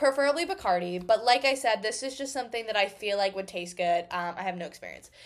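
On a very clean recording with a silent background, a woman with an American accent uses an ordinary speaking voice, fairly high in pitch, talking fairly quickly with lively intonation and big swings in loudness. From Massachusetts, Boston suburbs. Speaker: podcast host and college student. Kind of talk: casual Q&A monologue.

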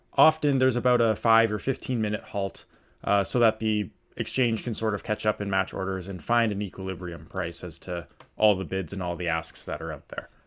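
In an ordinary speaking voice, a man talks at a fairly quick pace with a fairly low pitch and ordinary pitch variation on a very clean recording with a silent background. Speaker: podcast host. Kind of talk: casual chat about markets.

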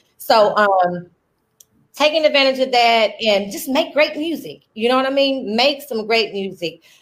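With a Southern US accent, a woman talks at a fairly slow pace in a high pitch. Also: lively intonation. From Arkansas. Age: 30s. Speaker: radio host. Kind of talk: casual chat.

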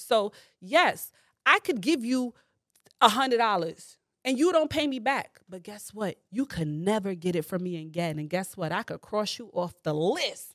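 A woman with a New York accent, an animated tone, and a fairly high pitch, very wide pitch swings at a moderate pace, on a very clean recording with a silent background. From New York, the Bronx. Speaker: comedian. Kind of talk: casual chat.

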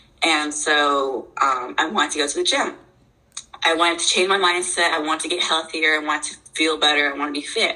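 Against noticeable background noise, the speaker moves at a fairly quick pace with fairly even intonation. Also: woman, very deep, low pitch for a woman. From moved around as military child; mostly Ocala, Florida. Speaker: personal trainer and bodybuilder, assault survivor. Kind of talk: interview.

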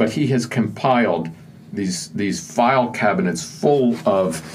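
In a room with audible echo, a man talks with an American accent. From Pennsylvania (Johnstown). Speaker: author. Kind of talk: interview.

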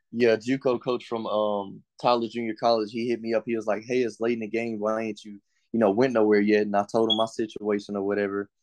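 Against a quiet background, a man with an East Texas accent talks at a fairly quick pace with hardly any pauses, at medium pitch and with monotone, flat intonation. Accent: East Texas Southern US. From East Texas (Longview, Henderson). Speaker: college football player. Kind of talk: interview.

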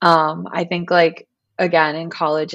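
A woman's very deep, low voice in an American accent, with monotone, flat intonation. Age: 20s. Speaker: yoga teacher and business co-founder. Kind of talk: casual chat.

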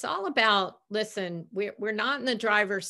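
A woman speaks at a moderate pace in a bright, sharp tone, in a very clean recording with a silent background. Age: 50s. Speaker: hospitality executive and speaker. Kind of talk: interview.

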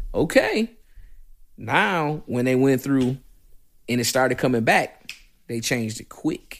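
A man speaks loudly with an American accent. He leaves long, frequent pauses. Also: medium pitch for a man, ordinary pitch variation, fairly slow pace. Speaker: firearms instructor. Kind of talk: casual interview. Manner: loud and animated.

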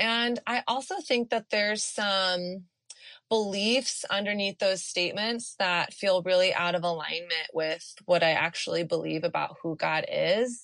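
At a fairly slow pace, a woman with an unremarkable speaking voice talks at medium pitch with ordinary pitch variation over a quiet background. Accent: American. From Texas. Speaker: author and dating coach. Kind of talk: interview, casual conversation.

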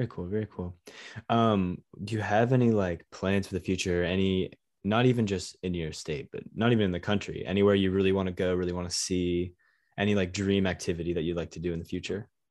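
A very fast male voice, very deep and low in pitch, with fairly even intonation. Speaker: podcast host. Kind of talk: casual interview chat. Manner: casual, friendly.

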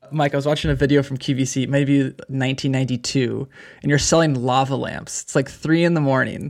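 His pitch is fairly high and his intonation monotone and flat. This man talks at a fairly quick pace. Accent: West Coast American. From California, Bay Area. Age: 30s. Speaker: podcast co-host. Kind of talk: casual interview.

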